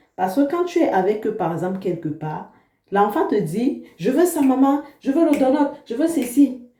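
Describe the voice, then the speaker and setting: The speaker moves at a fairly slow pace with very wide pitch swings, and audible room echo fills the recording. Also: woman, high pitch for a woman. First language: an African language, not French (speaking French). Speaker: vlogger, mother. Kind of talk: casual vlog talk to camera.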